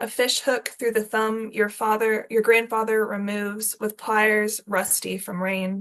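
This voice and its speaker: At a fairly slow pace and with hardly any pauses, a woman talks in a fairly high pitch with monotone, flat intonation. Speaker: poet. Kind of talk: poetry reading; casual spoken introduction.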